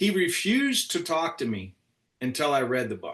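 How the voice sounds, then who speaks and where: This man talks in an animated tone. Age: 60s. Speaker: podcast co-host, insurance agent. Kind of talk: casual chat.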